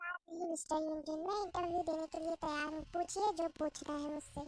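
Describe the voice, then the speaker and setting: A woman does a put-on character voice at an extremely high pitch. She talks fairly quickly in a flat monotone. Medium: fan dub. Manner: hurried, fussy.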